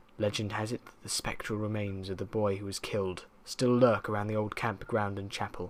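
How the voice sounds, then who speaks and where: This man's voice sits at a fairly low pitch. He speaks at a fairly quick pace. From southern England. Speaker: creepypasta narrator. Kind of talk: horror story reading.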